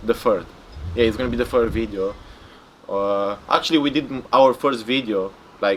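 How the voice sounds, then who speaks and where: Delivered at a moderate pace with ordinary pitch variation and long, frequent pauses, the speech comes through noticeable background noise. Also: man, medium pitch for a man. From Romania. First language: Romanian. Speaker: bodybuilder. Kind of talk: interview. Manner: casual, filler-heavy and halting.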